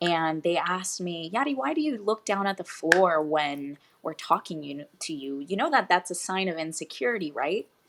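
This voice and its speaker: This woman has a Spanish accent and a fairly low pitch. She talks at a moderate pace with ordinary pitch variation. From Puerto Rico, then Florida and Tennessee. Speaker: fitness coach. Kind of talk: interview.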